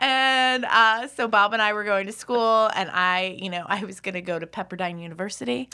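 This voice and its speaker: In a very clean recording with a silent background, a woman with an American accent talks at a moderate pace. Her voice sits at medium pitch with a bright, sharp tone and ordinary pitch variation. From US, Philadelphia. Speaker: podcast guest. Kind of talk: casual chat.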